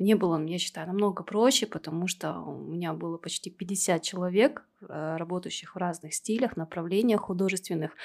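A woman speaks with a fairly low pitch, ordinary pitch variation and vocal fry. She hardly pauses at all, and her loudness swings widely. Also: moderate pace. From Kazakhstan, Temirtau. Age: 30s. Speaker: tattoo artist and podcast co-host. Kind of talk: casual chat.

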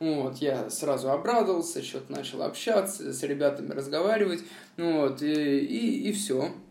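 With audible room echo, a man speaks at a fairly high pitch with lively intonation. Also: moderate pace. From Moscow, Russia. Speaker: former prisoner. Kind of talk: testimony. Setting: remote call. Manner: hesitant, filler-heavy.

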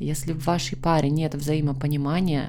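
Audible room echo around a woman's very deep, low voice, moving at a moderate pace. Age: 30s. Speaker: psychologist, podcast host. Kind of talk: advice monologue. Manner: gentle, warm.

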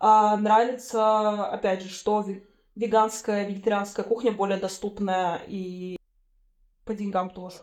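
Her pace is fairly slow, and her medium-pitched delivery is monotone and flat. This woman's loudness swings widely. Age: 20s. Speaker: podcast host. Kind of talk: casual chat.

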